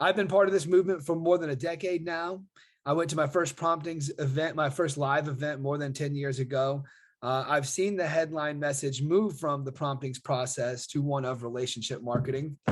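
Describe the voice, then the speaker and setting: Against a quiet background, a man with a fairly high pitch speaks with ordinary pitch variation. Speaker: online marketer and affiliate. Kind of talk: casual video monologue. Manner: fast; animated.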